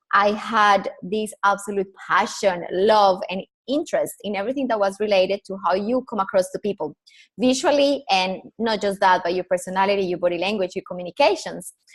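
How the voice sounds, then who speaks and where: A woman at a medium pitch with a Colombian accent, ordinary pitch variation and a fairly quick pace, in a dry, close sound with no echo. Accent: Colombian Spanish accent, noticeable. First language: Spanish. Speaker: personal branding consultant. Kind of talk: podcast interview.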